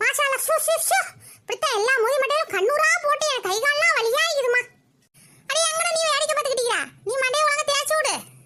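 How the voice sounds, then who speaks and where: In a squeaky, cartoonish character voice, a woman talks at an extremely high pitch with lively intonation, a fairly quick pace, and very even loudness. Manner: cranky, bossy.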